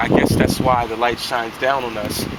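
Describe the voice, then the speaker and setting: Noticeable background noise runs through the clip. The voice belongs to a man. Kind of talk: spoken word poetry performance.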